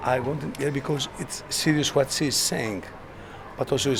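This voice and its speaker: A man speaks with a Greek accent over noticeable background noise. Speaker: satirical TV host. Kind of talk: interview.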